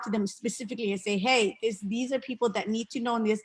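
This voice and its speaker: With a Somali accent, the speaker talks at a fairly quick pace with fairly even intonation. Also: woman. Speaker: parent and bilingual school aide. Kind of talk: virtual town hall discussion. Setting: video call.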